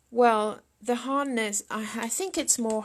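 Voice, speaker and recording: In a very clean recording with a silent background, a woman with a French accent talks at a very slow pace with fairly even intonation. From France. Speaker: sculptor. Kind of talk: live sculpting demonstration with Q&A. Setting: studio livestream. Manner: halting. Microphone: laptop.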